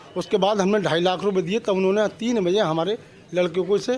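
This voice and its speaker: There is noticeable background noise as a man with a high pitch speaks at a moderate pace. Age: 70s. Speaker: complainant. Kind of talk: testimony.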